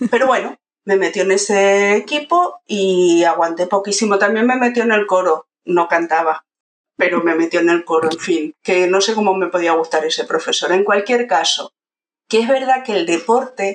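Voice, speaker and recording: Speaking at a moderate pace with very even loudness, a woman uses a plain, everyday voice at medium pitch with ordinary pitch variation. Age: 50s. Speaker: university pedagogy lecturer. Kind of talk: casual interview.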